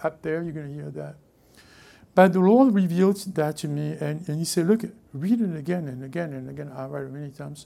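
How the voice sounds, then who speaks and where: The speaker has a French accent and talks at a fairly quick pace. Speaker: pastor. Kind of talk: sermon. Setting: church.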